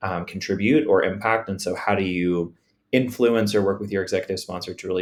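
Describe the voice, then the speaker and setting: In a very clean recording with a silent background, a man speaks in a plain, everyday voice with an American accent. His pitch is fairly low, with ordinary pitch variation. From US South, small conservative town. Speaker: podcast co-host, DEI consultant. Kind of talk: casual conversation.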